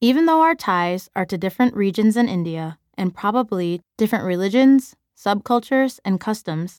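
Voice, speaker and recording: A woman with an American accent speaks at a moderate pace with lively intonation. The very clean recording has a silent background and a dry, close sound with no echo. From US Midwest, Chicago. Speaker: teacher and author narrating own book. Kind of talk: audiobook narration.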